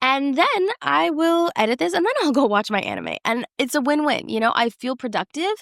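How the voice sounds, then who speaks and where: Speaking in a high pitch with very wide pitch swings and hardly any pauses, a woman is heard in a dry, close sound with no echo. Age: 20s. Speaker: podcast host and content creator. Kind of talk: casual solo podcast monologue. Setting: filming alone in front of a camera. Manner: fast; chatty, rambling.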